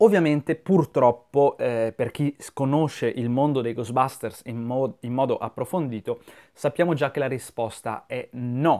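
A man's medium-pitched voice at a fairly slow pace, with ordinary pitch variation against a quiet background. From Italy. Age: 30s. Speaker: YouTuber film commentator. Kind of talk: video monologue commentary. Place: home room. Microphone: lapel.

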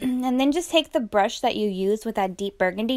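Here a woman uses lively intonation at a moderate pace. The recording is very clean, with a silent background. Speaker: makeup youtuber. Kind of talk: tutorial. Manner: casual.

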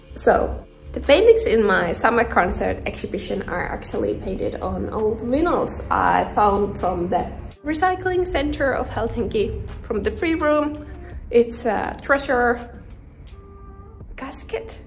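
A woman speaks at a fairly slow pace. Music plays in the background. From Finland. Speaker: visual artist, painter. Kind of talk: casual vlog talk to camera. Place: shop. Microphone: phone near.

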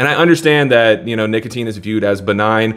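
A man is speaking here. His pace is very fast. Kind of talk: casual vlog commentary.

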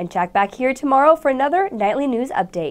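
A woman speaks at a fairly quick pace in a high voice, her pitch swinging very widely. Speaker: student news anchor. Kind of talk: news reading. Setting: studio. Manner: formal; steady, polished broadcast delivery. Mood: bright, friendly. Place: studio.

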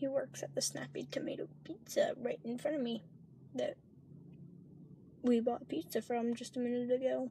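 A woman speaks at a moderate pace, with a dry sound with no echo and light background noise. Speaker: vlogger. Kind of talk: casual vlog chat. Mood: relaxed, a bit hushed. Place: car. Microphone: phone near.

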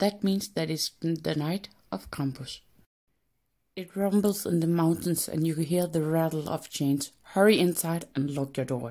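A woman with a Danish accent speaks at a fairly slow pace with ordinary pitch variation. Her tone is dark and mellow. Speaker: sculptor and craft video maker. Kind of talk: scary story narration.

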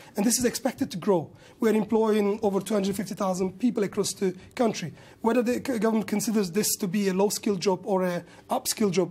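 A high-pitched man with a Kurdish-Turkish accent speaks in a dark, mellow tone, with fairly even intonation and very even loudness. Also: fairly quick pace. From Kurdish region of Turkey. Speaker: restaurant business owner and industry campaigner. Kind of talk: news interview. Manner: halting. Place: studio. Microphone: lapel.

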